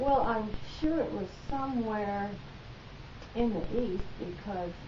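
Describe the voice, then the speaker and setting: A woman at a fairly high pitch, very slow in pace, over noticeable background noise. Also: ordinary pitch variation. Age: 70s. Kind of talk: interview answer. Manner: casual, hesitant.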